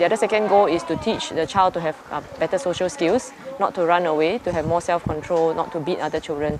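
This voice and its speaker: Crowd noise fills the background as a woman with a fairly low pitch talks at a fairly quick pace with ordinary pitch variation. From Singapore. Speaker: social worker. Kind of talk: interview answer.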